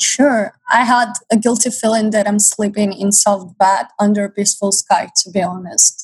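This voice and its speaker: Somewhat breathy medium-pitched woman's voice with hardly any pauses, in a dry, close sound with no echo. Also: ordinary pitch variation, moderate pace. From Ukraine. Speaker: college student and volunteer. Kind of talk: radio interview.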